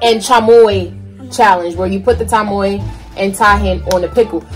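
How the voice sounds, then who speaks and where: Faint music plays in the background while a woman speaks at a moderate pace. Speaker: mother vlogger. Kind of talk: casual vlog chat. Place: home room. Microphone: phone near.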